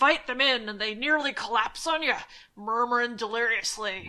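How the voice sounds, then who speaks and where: A put-on character voice moves at a moderate pace with ordinary pitch variation. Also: woman, fairly high pitch for a woman. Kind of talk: spooky campfire storytelling. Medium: read story. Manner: slow, ominous.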